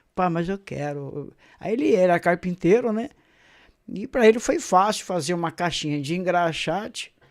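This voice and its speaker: A man's high-pitched voice with lively intonation at a moderate pace, on a very clean recording with a silent background. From Brazil, Caraguatatuba, São Paulo coast. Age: 60s. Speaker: pastor. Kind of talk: testimony. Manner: hesitant, many fillers.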